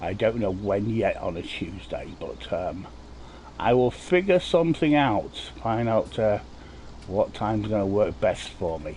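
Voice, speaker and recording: At a fairly slow pace, a man talks with an English accent. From England. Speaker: gaming streamer. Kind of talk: live gameplay commentary. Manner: casual, rambling with fillers.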